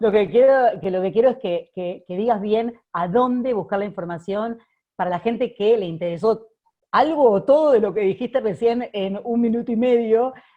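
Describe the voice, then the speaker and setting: A woman with a Rioplatense accent talks at a moderate pace and a fairly high pitch, with ordinary pitch variation. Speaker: research center director and host. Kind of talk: interview. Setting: video call.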